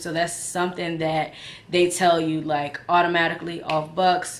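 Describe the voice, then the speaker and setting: A woman speaks at a fairly low pitch, with audible echo from the room. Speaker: vlogger. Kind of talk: casual vlog chat.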